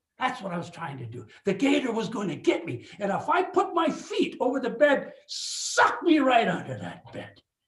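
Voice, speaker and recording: With audible room echo, a man speaks at a moderate pace in an extremely high pitch for a man. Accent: American. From Superior, Wisconsin. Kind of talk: lecture. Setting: video call. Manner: animated.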